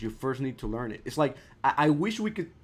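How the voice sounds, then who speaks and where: Speaking at a moderate pace with a non-native accent, a man uses lively intonation and a fairly high pitch. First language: not English. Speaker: art teacher streaming. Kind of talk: live stream tutorial. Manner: casual, halting with repetitions.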